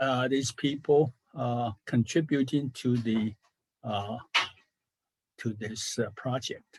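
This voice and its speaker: A man's medium-pitched voice at a very slow pace with fairly even intonation, dry and close with no echo, quiet background. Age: 80s+. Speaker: software engineer presenter. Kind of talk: technical presentation. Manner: halting, many fillers.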